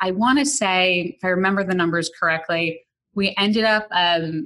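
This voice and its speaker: A woman's medium-pitched voice with a bright, sharp tone and an American accent. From New York City, the Bronx. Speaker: marketing executive. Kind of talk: interview.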